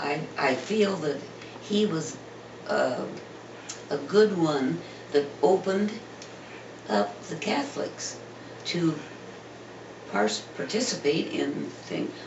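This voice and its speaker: With an American accent, a man talks at a fairly high pitch, very slowly, pausing long and often, his pitch swinging very widely. The room echo is audible, and background noise is noticeable. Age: 90s. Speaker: parishioner. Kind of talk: oral history interview. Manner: halting.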